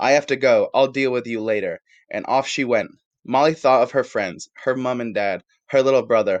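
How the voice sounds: With quiet surroundings, someone reads in a natural reading voice.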